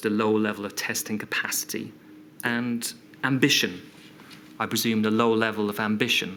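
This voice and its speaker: A man speaks with a British accent at a medium pitch. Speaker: inquiry counsel. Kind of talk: formal questioning at public inquiry.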